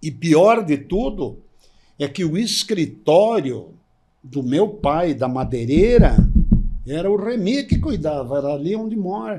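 A man speaks at a fairly slow pace with a dark, mellow tone and a high pitch. His pitch swings very widely against a quiet background. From Gramado, Rio Grande do Sul, Brazil; Rio Grande do Sul, Brazil. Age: 80s. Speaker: podcast guest. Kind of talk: interview answer, storytelling. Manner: conversational, reminiscing, informal. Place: studio. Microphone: studio mic.

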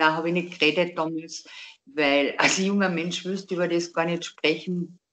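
With a Carinthian accent, a woman speaks at a fairly low pitch. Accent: Carinthian Austrian dialect. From Austria. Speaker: interviewee telling a personal story. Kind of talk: interview answer. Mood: calm, reflective. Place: home room. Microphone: video call.

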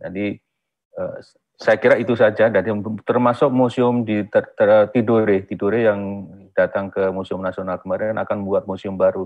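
The setting is quiet. A man speaks there at a moderate pace. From rural Indonesia. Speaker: museum director, archaeologist; webinar speaker. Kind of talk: webinar presentation. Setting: video call. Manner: halting. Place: office. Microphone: earbuds.

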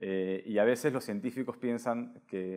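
A man's intonation stays fairly even over a quiet background. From Peru. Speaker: science podcast host. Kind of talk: interview. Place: home room. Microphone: lapel.

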